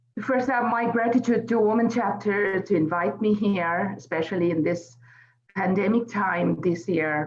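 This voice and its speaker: Lively intonation at a moderate pace, very even loudness, and music in the background. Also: woman. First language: Bengali. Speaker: poet. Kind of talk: event speech. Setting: celebration event.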